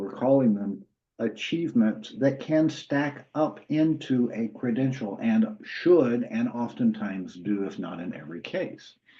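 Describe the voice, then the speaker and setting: A man with a Southern US accent, medium pitch, a fairly slow pace, hardly any pauses, and big swings in loudness. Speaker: university credentials program lead. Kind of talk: webinar Q&A answer. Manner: conversational with frequent fillers.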